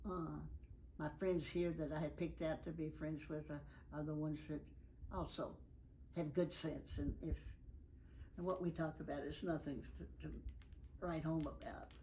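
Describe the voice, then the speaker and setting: A woman speaks in a Tennessee accent at a moderate pace, with long, frequent pauses. Audible room echo surrounds her voice. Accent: Southern US (Tennessee). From US South, Nashville, Tennessee. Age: 90s. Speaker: elderly interviewee recounting life story. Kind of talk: oral history interview.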